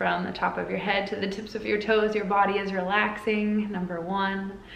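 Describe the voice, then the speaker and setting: Audible room echo surrounds a woman's voice. She keeps a monotone, flat intonation at a moderate pace. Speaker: spiritual guide and oracle card reader. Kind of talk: guided meditation. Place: home room. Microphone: phone near.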